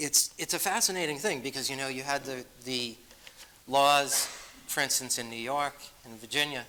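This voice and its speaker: A man with a Boston accent speaks in a fairly high voice, with long, frequent pauses and noticeable background noise. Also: ordinary pitch variation, moderate pace, big swings in loudness. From Massachusetts. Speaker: author and speaker. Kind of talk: Q&A after a lecture. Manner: halting, with many fillers.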